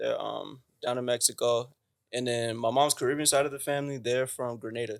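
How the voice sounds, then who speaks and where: A man with an American accent talks at a fairly quick pace. His voice sits at medium pitch. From US Southwest, Phoenix, Arizona. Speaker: singer-songwriter. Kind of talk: casual chat. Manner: animated.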